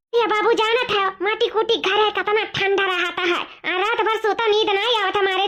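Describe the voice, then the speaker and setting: In a cartoonish character voice pitched extremely high, a woman speaks at a fairly quick pace. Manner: homely, rambling.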